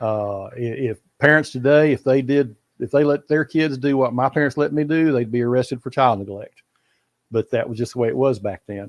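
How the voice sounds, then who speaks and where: A man with a Texas accent at medium pitch, fairly quick, with ordinary pitch variation, a quiet background and a dry, close sound with no echo. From Texas, Fort Worth. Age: 70s. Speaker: bass angler. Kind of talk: casual interview.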